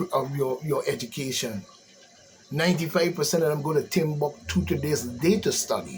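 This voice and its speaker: A fairly high-pitched man with an American accent at a moderate pace, ordinary pitch variation and noticeable background noise. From US Virgin Islands. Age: 60s. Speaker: commentator. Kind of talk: ranting monologue. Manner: animated.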